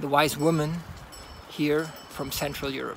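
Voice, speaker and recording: A man speaks over noticeable background noise. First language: German. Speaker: horseman and folklore storyteller. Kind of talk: casual monologue. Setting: outdoors on horseback. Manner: halting.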